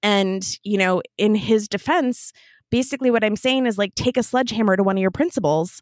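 An ordinary speaking voice with an American accent, delivered at a fairly quick pace with ordinary pitch variation and very even loudness. The recording is very clean with a silent background and a dry, close sound with no echo. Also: woman, fairly high pitch for a woman. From US Midwest, small town Minnesota. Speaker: entrepreneur. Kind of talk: casual interview. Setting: recording from home closet.

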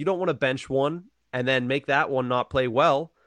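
A man with an American accent speaks in an ordinary speaking voice at medium pitch and a moderate pace. The sound is dry and close with no echo, the background quiet, and the pitch varies in an ordinary way. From western Pennsylvania, Johnstown. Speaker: hockey fan. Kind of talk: casual chat.

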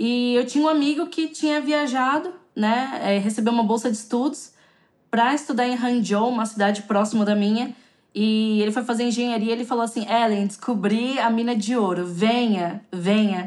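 A woman talks at a moderate pace in an ordinary speaking voice with a fairly high pitch. Her loudness stays very even, and her pitch varies in an ordinary way. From São Paulo, Brazil (south zone). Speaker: Brazilian expat in China, YouTuber. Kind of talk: podcast interview. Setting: remote call.

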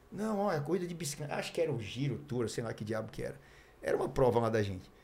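A man's fairly high voice with very wide pitch swings, audible room echo and noticeable background noise. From Brazil, Mogi Mirim (São Paulo state). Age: 50s. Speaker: former pro cyclist and TV cycling commentator. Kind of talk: casual chat. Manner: hesitant, with many fillers.

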